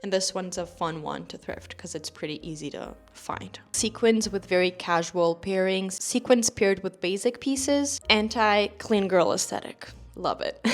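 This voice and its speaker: Over noticeable background noise, a woman of medium pitch speaks with a non-native accent and big swings in loudness. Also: ordinary pitch variation, moderate pace. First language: not English. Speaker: fashion youtuber. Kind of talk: casual vlog talk to camera. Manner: chatty, informal.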